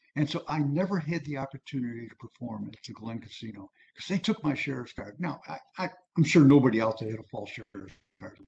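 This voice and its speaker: A fairly high-pitched male voice with vocal fry, lively intonation and a moderate pace. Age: 70s. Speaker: music historian and author. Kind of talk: lecture. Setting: video call. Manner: casual, conversational.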